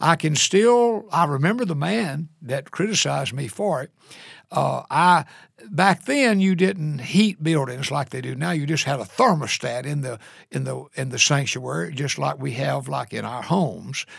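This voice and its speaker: With lively intonation and vocal fry, a man speaks in a fairly high pitch. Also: moderate pace. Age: 70s. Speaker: senior pastor. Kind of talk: interview. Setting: studio.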